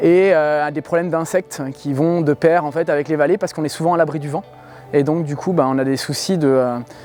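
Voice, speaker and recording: With music behind him, a man talks in a fairly high voice whose pitch varies in an ordinary way. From France, Île-de-France (Essonne). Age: 40s. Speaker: organic farmer. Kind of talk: interview. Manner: hesitant, many fillers.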